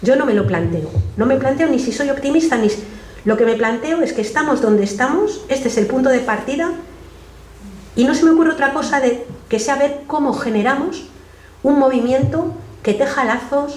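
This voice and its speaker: A high-pitched woman talks with long, frequent pauses. Noticeable background noise and audible room echo fill the recording. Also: moderate pace. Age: 60s. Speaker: activist and speaker. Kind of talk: public talk Q&A. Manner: halting, many self-corrections.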